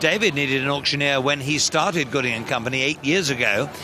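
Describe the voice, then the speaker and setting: Music plays in the background. A man with an English accent speaks in a fairly high voice. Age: 60s. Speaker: auctioneer. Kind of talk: interview.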